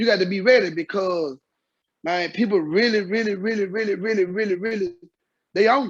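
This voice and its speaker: A loud man talks at a fairly quick pace. His pitch is high. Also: ordinary pitch variation. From Mississippi, raised in Memphis. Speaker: former drug dealer, author. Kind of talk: interview.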